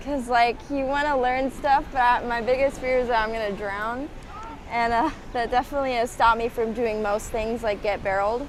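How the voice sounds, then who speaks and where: Over noticeable background noise, a woman speaks at a fairly quick pace. Her high pitch holds a fairly even intonation. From Hawaii, Waikiki. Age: 20s. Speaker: surfer. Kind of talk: casual interview.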